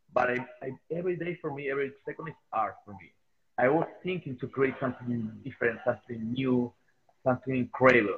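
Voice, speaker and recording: A man's medium-pitched voice with a Spanish accent, at a fairly quick pace, with ordinary pitch variation and big swings in loudness. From Chile. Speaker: sculptor. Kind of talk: interview. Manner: halting, frequent hesitations.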